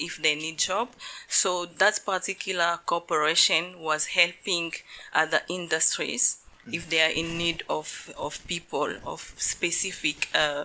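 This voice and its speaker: A woman's fairly low, bright and sharp voice, fairly slow and fairly even in intonation. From DR Congo, Kinshasa. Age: 40s. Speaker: law professor. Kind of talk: interview.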